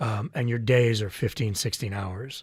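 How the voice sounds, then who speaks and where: A man's somewhat breathy voice at medium pitch, moderate pace and ordinary pitch variation, on a very clean recording with a silent background. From Canada. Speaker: voice actor. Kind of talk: interview answer.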